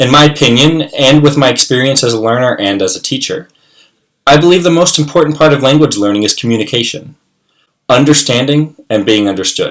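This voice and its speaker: A man with an American accent talks at a fairly quick pace with ordinary pitch variation. He has an ordinary speaking voice, fairly high in pitch. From US, West Virginia. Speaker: English teacher. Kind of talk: scripted self-introduction. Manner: formal.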